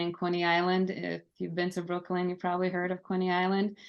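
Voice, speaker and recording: A woman speaks with a Lithuanian accent. The background is quiet. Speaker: army veteran. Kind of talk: podcast interview.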